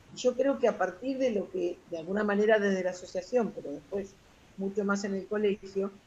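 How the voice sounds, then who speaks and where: Somewhat breathy, a woman speaks with a Rioplatense accent at medium pitch. Her tone is dark and mellow, with ordinary pitch variation. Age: 60s. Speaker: retired social worker. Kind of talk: interview. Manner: halting.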